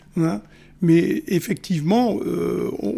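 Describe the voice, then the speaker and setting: The man's voice carries a dark, mellow tone. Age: 60s. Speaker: ambulance worker. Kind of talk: radio interview. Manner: halting, many hesitations.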